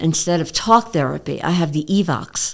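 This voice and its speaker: A woman speaks at a moderate pace in a very deep, low voice with vocal fry, a strong New York accent and ordinary pitch variation, on a very clean recording with a silent background. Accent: thick New York. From New York City (Queens). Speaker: naturopath. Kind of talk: interview conversation. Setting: studio, seated across a table.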